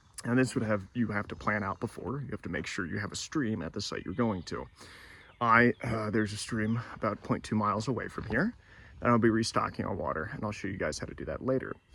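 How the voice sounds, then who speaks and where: Soft-spoken and very fast, a man talks at a fairly low pitch with a bright, sharp tone and ordinary pitch variation. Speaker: hiker vlogger. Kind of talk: outdoor vlog narration. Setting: outdoors on a hiking trail. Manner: hesitant, many fillers.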